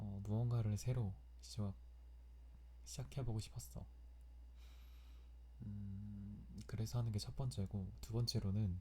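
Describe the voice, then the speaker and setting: This man's very deep, low voice has a dark, mellow tone and is somewhat breathy, with very wide pitch swings. He talks at a very slow pace, leaving long, frequent pauses. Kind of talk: personal diary-style ASMR recording.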